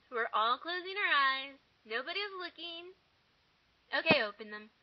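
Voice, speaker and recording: Over noticeable background noise, a woman with an American accent talks at a fairly slow pace in a high-pitched voice with lively intonation. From eastern Washington State, US. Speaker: vlogger. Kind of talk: casual vlog. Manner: animated. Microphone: poor audio.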